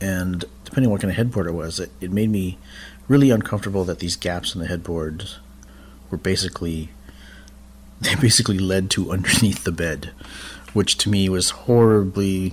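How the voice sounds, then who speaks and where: In an American accent, a man with a very deep, low pitch speaks at a moderate pace with ordinary pitch variation and long, frequent pauses. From Ketchikan, Alaska. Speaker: amateur storyteller. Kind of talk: personal ghost story told to podcast. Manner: hesitant, many fillers; earnest, casual.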